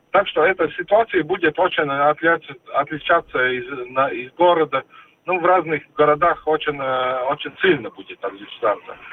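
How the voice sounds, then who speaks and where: At a fairly high pitch, a man talks at a moderate pace with ordinary pitch variation and long, frequent pauses. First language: Latvian (speaking Russian). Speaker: energy industry association executive. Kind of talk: radio interview. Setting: phone call. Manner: halting, with many filler sounds.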